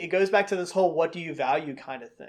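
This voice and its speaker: This man speaks with a Southern US accent and ordinary pitch variation. The recording is very clean, with a silent background. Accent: Southern US accent noticeable. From North Carolina (Concord, near Charlotte). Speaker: pastor. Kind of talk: video commentary / Bible teaching. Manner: casual, conversational.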